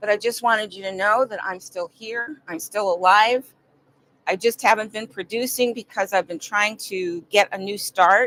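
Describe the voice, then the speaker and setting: In an ordinary speaking voice, a woman with an American accent talks at a moderate pace and medium pitch, her intonation fairly even and the sound dry and close with no echo. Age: 60s. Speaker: vlogger. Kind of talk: personal video monologue.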